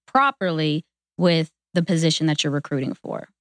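A woman with a normal speaking voice, fairly low in pitch with ordinary pitch variation, at a fairly quick pace, in a dry, close sound with no echo. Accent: American. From western Pennsylvania, near Pittsburgh. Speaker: human resources and recruitment professional. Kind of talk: podcast interview.

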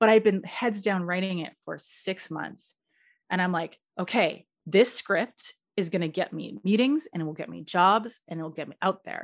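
A woman with a Canadian accent and vocal fry speaks at a moderate pace and medium pitch with ordinary pitch variation, on a very clean recording with a silent background. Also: big swings in loudness. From Edmonton, Alberta, Canada. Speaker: screenwriter and director. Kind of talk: casual interview.

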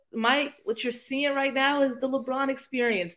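Here is a woman with an American accent. Her pitch is high. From US Midwest, Northeast Ohio. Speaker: sports podcast guest, basketball fan. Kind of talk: casual chat.

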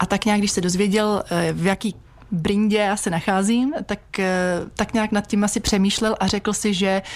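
A woman with a medium pitch talks at a fairly slow pace. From Czech Republic, Vysočina region. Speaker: massage therapist. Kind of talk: radio interview. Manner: halting, many fillers.

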